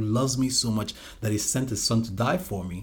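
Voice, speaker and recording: The speaker talks at a very fast pace, somewhat breathy, with ordinary pitch variation. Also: man. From Nigeria (Calabar, southern Nigeria). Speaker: ministry leader. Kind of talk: testimony.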